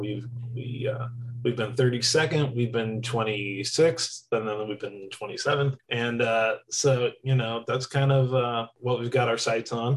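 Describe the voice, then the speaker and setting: At a fairly slow pace, a man with a medium pitch and somewhat breathy voice speaks in a monotone, flat intonation. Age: 30s. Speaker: barbershop quartet singer. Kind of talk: interview.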